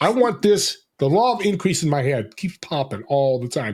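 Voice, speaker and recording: Loud and with an American accent, a man speaks at a fairly high pitch with vocal fry. His pitch swings very widely. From New Jersey, US. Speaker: podcast host and business connector. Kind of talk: casual interview chat. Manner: energetic, dynamic.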